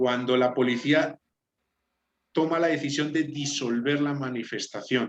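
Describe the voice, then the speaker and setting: A man with a Spanish accent speaks at a fairly slow pace in a fairly high voice, his loudness very even and his intonation fairly level, with long pauses coming often. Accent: Spanish (Spain). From Spain. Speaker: law student. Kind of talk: class presentation.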